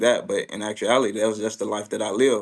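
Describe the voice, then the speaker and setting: Very fast, fairly low male speech in a flat monotone. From US South, Mississippi. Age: 20s. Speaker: tech entrepreneur. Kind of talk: interview. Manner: hesitant, many fillers.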